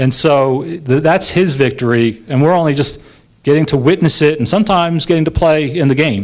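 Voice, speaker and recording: A man with a plain, everyday voice, fairly high in pitch, at a fairly quick pace with ordinary pitch variation. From New York. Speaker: lay preacher. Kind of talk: sermon. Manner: conversational with frequent fillers.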